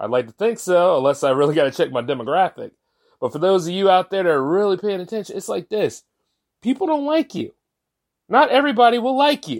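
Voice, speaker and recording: Speaking at a fairly quick pace in an animated tone, a man with a high pitch uses very wide pitch swings, dry and close with no echo on a very clean recording with a silent background. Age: 30s. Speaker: podcast host. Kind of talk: casual monologue.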